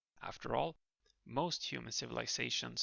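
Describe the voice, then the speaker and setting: Vocal fry marks this man's voice. He keeps a moderate pace. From Western country. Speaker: language student and educational youtuber. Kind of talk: scripted narration. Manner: formal.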